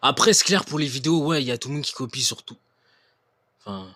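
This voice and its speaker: The recording is very clean and the background silent. A man's tone comes across bright and sharp. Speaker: YouTuber reacting to videos. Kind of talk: live-streamed reaction commentary. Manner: hesitant, many fillers.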